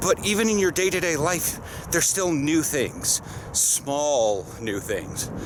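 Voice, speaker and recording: Over noticeable background noise, a man with an American accent speaks at a very slow pace. His fairly high voice has lively intonation. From US Pacific Northwest. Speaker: vlogger and football player. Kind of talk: casual vlog monologue. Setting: outdoors, walking.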